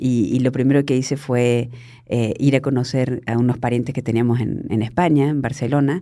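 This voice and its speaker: A woman's very deep, low voice, dark and mellow in tone, at a moderate pace with fairly even intonation. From Argentina (Córdoba province). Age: 50s. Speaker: journalist. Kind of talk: interview conversation.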